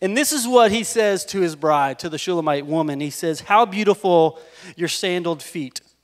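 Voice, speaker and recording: A man talks at a moderate pace with a high pitch and ordinary pitch variation against a quiet background. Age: 40s. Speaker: pastor. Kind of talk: sermon. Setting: church. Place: stage. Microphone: handheld.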